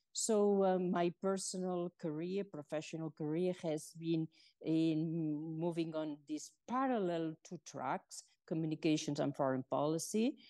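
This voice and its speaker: Recorded dry and close with no echo over a quiet background, a woman with a Spanish accent speaks at a fairly low pitch in a dark, mellow tone with ordinary pitch variation. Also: fairly slow pace. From Spain. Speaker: former UN communications chief. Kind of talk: interview.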